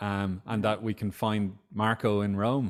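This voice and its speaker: This man speaks at a fairly low pitch with an Irish accent. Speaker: author and social campaigner. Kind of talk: book club interview. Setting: video call.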